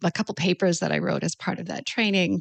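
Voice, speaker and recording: Fairly quick speech from a woman with a Canadian accent, fairly low in pitch, with vocal fry. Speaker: naturopathic doctor. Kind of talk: interview. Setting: podcast.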